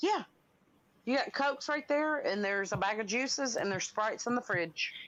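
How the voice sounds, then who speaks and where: With a Southern US accent, a woman talks at a fairly quick pace in a high voice, her intonation lively and her loudness very even against a quiet background. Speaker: livestream guest. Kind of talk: casual chat.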